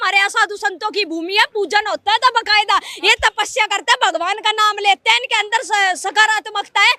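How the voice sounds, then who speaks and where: A woman's extremely high-pitched, raised and projected voice in a Haryana accent, at a moderate pace with fairly even intonation and hardly any pauses. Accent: Haryanvi. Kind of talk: street interview answer. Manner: blunt, forceful.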